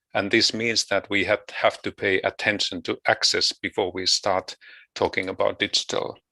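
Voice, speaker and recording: A man with a Finnish accent talks at a moderate pace, the sound dry and close with no echo over a quiet background. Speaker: education researcher. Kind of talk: conference presentation. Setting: video call. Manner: halting.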